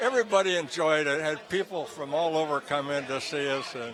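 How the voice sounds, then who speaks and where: Lively intonation marks a man's fairly high voice. Audible room echo and noticeable background noise are both present. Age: 90s. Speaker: retired racing driver. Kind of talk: interview. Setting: gala event venue. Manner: halting.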